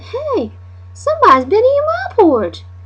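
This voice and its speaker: Over loud background noise, a squeaky put-on character voice at an extremely high pitch moves along at a moderate pace. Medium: read story.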